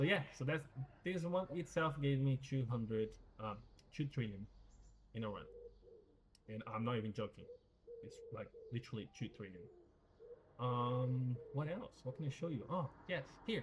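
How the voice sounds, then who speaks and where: This man's somewhat breathy voice has lively intonation, broken up by long, frequent pauses. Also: medium pitch for a man, moderate pace. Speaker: gaming youtuber. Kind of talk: gameplay commentary. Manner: casual, many fillers and repeats; mumbling.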